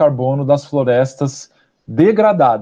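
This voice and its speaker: Here a man's fairly high pitch comes with a dark, mellow tone. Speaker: ecologist, postdoctoral researcher. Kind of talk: lecture. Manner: fast.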